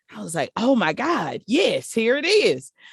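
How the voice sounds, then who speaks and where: A woman with a South Carolina accent, very wide pitch swings, a dry, close sound with no echo and a very clean recording with a silent background. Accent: Southern US (South Carolina). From US South, small-town South Carolina. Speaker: live sound engineer. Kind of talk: interview. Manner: casual, conversational.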